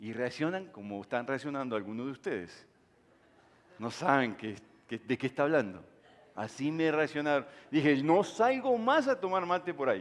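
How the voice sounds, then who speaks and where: Pausing long and often, a man talks at a moderate pace in a fairly high voice with very wide pitch swings. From Uruguay. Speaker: pastor. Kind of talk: sermon.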